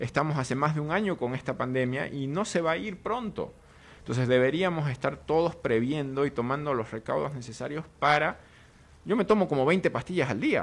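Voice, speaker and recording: With a normal speaking voice, a man talks at a fairly quick pace, his fairly high pitch carrying lively intonation. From Bolivia. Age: 30s. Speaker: political analyst. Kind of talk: studio interview. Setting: studio.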